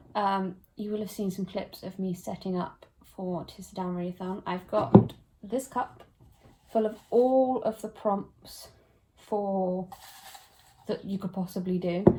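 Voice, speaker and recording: Over noticeable background noise, a woman with a British accent talks at a fairly slow pace in a medium pitch, her intonation fairly even and her pauses long and frequent. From UK. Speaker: book vlogger. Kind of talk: casual vlog.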